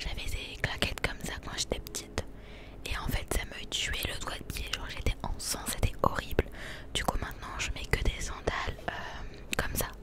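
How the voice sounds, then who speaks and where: A woman speaks with a dry sound and no echo. Loud background noise runs behind her. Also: moderate pace. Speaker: content creator. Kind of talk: casual vlog chat. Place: shop. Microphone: handheld.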